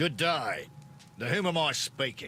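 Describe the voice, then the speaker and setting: A man puts on a raspy character voice, pitched fairly high for a man, at a moderate pace over clear background noise. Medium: video game. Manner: curt, impatient.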